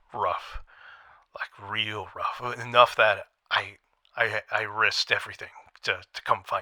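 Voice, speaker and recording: A man's raspy, put-on character voice at a fairly slow pace, with long, frequent pauses. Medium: audio drama. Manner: nervous, stammering.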